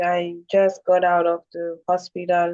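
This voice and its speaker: A woman with a non-native accent speaks at a medium pitch and a fairly slow pace. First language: not English. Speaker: caller on a support call. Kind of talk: personal sharing. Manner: halting.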